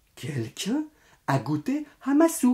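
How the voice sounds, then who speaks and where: A put-on character voice speaks in a fairly high pitch at a fairly slow pace. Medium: read story.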